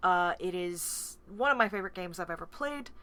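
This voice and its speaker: Loud and bright with a sharp tone, a woman's medium-pitched voice comes through a very clean recording with a silent background. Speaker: stream host and game facilitator. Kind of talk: live-streamed tabletop game session.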